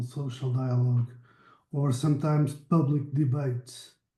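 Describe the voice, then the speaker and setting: A man talks fairly slowly with a fairly high pitch and a dark, mellow tone. His intonation stays fairly even, and the voice is somewhat breathy. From Portugal. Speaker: meeting moderator, researcher. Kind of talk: online project meeting discussion. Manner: halting, self-correcting.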